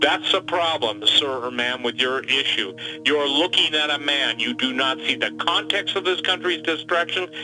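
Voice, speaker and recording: Over noticeable background noise, a man speaks at a moderate pace in a fairly high voice. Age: 60s. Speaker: preparedness guest on a prophecy program. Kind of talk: interview conversation. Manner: animated.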